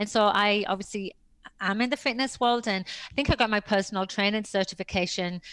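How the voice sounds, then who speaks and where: In a British accent, a woman speaks fairly quickly at a medium pitch, with fairly even intonation and very even loudness. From Britain. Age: 50s. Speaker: personal trainer and author. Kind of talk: interview.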